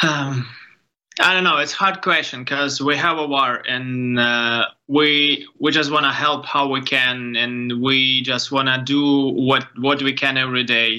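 A man with a Ukrainian accent speaks fairly slowly at medium pitch in a bright, sharp tone. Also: fairly even intonation, very even loudness. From Ukraine. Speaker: photographer. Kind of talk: interview. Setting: video call. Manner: halting.

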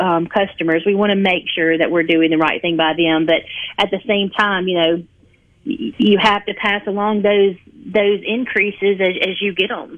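A woman speaks at a moderate pace and a medium pitch, with fairly even intonation. It is an unremarkable speaking voice. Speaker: heating and air company representative. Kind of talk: radio interview.

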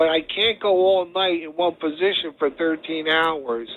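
A man with a New Jersey accent and a fairly high pitch. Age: 60s. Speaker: paralyzed former football player. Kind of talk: interview. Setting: phone call.

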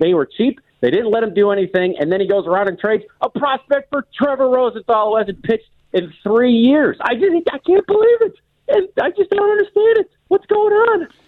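A man speaks in an extremely high voice at a fairly quick pace. His pitch swings very widely. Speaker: fan caller. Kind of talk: angry rant, bitter sarcastic tirade. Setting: phone call. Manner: impassioned, indignant, ranting with heated sarcasm.

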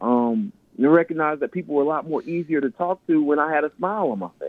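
Here a man speaks with a fairly high pitch. His moderate pace carries very wide pitch swings. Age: 30s. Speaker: inspirational speaker and author. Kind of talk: radio interview. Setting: phone or remote line.

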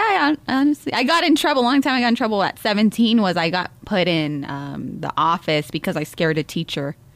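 A woman talks at a very fast pace with hardly any pauses, very wide pitch swings and vocal fry. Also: fairly high pitch for a woman. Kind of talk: casual chat.

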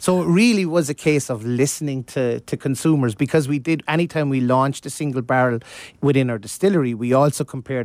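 On a very clean recording with a silent background, a man speaks very fast at a medium pitch, the sound dry and close with no echo. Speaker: master distiller. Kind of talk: casual interview. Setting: studio.

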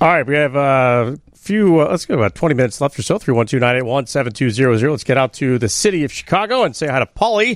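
A man with an ordinary speaking voice and a fairly high pitch talks at a fairly quick pace with hardly any pauses, his intonation lively and his loudness very even. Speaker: radio host. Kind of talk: post-game sports call-in radio talk. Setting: radio studio.

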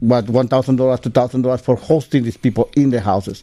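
A dark, mellow tone and a non-native accent come through at a moderate pace. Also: man. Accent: foreign-accented English. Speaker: storyteller. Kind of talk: casual interview.

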